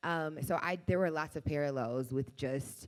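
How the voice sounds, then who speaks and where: A woman speaks with an American accent in a very deep, low pitch at a moderate pace. The recording is very clean with a silent background. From Texas, Houston. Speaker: actress. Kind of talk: casual interview chat. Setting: festival interview set.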